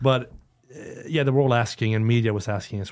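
Speaking at a fairly quick pace, a man uses fairly even intonation at medium pitch. He talks with a Swedish accent. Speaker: retired footballer. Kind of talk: casual chat. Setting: studio. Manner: halting.

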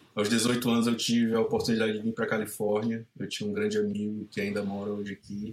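With monotone, flat intonation, a man speaks at a moderate pace in a fairly low pitch. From Ceará, Brazil (Caucaia). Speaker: surf photographer and filmmaker. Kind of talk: casual interview.

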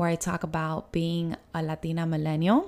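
A woman at a moderate pace. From Miami, Florida. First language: Spanish. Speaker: podcast host. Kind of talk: casual solo podcast monologue.

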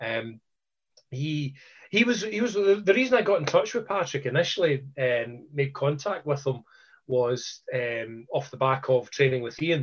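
A man with a Scottish accent speaks at a fairly high pitch with lively intonation. His voice is somewhat breathy. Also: fairly slow pace. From Scotland. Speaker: karate instructor. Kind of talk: casual chat.

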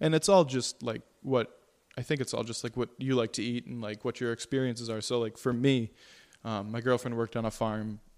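At a fairly quick pace, a man talks in an ordinary speaking voice with medium pitch and fairly even intonation. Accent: American. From Syracuse, Central New York. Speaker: chef and restaurant owner. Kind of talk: casual chat.

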